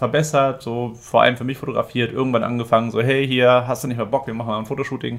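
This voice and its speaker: This man speaks very fast. He keeps his intonation fairly even. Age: 30s. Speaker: entrepreneur and business photographer, former teacher. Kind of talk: casual interview.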